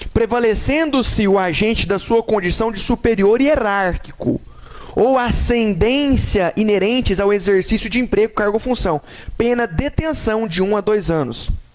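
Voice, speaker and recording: Noticeable background noise runs under a man's high-pitched voice, which keeps a moderate pace, ordinary pitch variation and very even loudness. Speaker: law teacher. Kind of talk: lecture.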